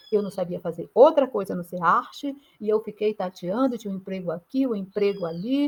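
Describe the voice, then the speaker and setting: A somewhat breathy voice at a moderate pace with ordinary pitch variation. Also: woman. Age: 60s. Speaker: artist and mentor. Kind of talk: motivational talk. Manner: halting.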